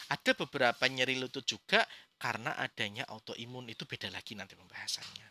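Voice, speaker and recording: Recorded with a dry, close sound and no echo, a man speaks in a bright, sharp tone. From Indonesia, Brebes (Central Java). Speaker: acupuncture teacher. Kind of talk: lecture. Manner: halting, with fillers.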